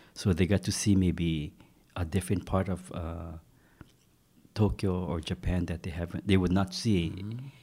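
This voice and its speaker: Very deep and low, a man's somewhat breathy voice carries a dark, mellow tone with ordinary pitch variation. He speaks at a moderate pace on a very clean recording against a silent background. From Hawaii (Hilo). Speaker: market researcher and former reporter. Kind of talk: interview. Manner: relaxed, with frequent fillers.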